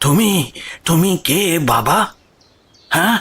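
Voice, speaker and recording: A put-on character voice with lively intonation. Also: man. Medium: audio drama. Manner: questioning, slightly hesitant.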